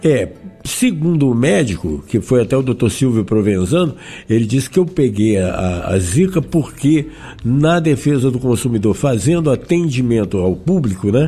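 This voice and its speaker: A man speaks at medium pitch with very wide pitch swings and very even loudness. His tone is dark and mellow, and somewhat breathy. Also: moderate pace. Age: 60s. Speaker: zika survivor sharing experience. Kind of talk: interview testimony.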